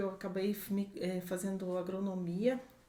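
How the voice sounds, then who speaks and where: A woman's medium-pitched, monotone, flat delivery at a fairly slow pace over noticeable background noise. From Brazil, southern Minas Gerais. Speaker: organic farm owner, agronomist. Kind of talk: podcast interview.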